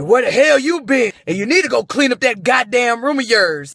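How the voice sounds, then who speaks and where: A man does a put-on character voice, gravelly and extremely high-pitched. He moves at a fairly quick pace with lively intonation. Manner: angry, scolding.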